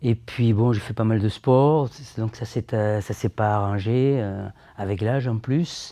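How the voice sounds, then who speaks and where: A man at medium pitch with a dark, mellow tone, very slow pace and fairly even intonation against a quiet background. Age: 70s. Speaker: patient. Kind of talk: testimony. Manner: halting.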